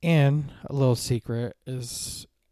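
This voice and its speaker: A man with an American accent, fairly high pitch, a dark, mellow tone and fairly even intonation, in a very clean, dry, close recording with no echo and a silent background. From Guam; raised on US military base in Japan. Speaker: podcast host. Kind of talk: casual chat.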